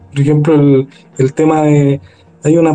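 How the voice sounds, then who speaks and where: A man's fairly high voice holds fairly even intonation. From Chile, Maipú (Santiago). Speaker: guest with paranormal experiences. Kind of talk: casual chat.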